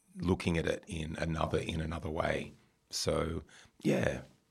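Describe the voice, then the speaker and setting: A man with an Australian accent talks at a moderate pace. His pitch is very deep and low, with vocal fry. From rural New South Wales, Australia. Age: 50s. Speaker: former fashion retailer and school community liaison. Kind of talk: interview. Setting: radio studio. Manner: halting, many repetitions and fillers.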